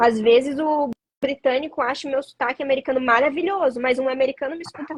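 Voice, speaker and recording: A woman talks at a very fast pace with a high pitch. Her sound is dry and close, without echo. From Brazil, São Paulo state (Atibaia). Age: young. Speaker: actress and stand-in. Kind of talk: interview. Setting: livestream.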